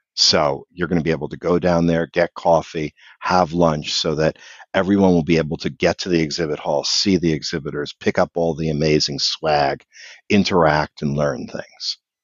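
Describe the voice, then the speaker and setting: A man's very deep, low voice in an American accent, with monotone, flat intonation at a moderate pace. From US, Philadelphia area. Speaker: event organizer. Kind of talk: casual chat.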